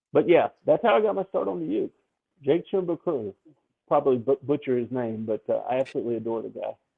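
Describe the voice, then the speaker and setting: A man speaks with a Memphis accent. His pace is very fast. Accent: smooth Southern, Memphis. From US South, Memphis, Tennessee. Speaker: ukulele song leader. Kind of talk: podcast interview.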